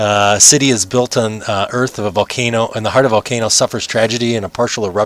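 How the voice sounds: A natural reading voice carries fairly even intonation from start to finish.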